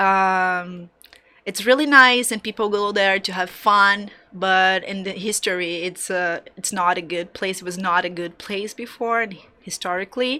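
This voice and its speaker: In a Brazilian Portuguese accent, a woman talks at a medium pitch with fairly even intonation and a fairly slow pace. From Brazil, Salvador, Bahia. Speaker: graphic designer. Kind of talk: interview conversation. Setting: studio. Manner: halting.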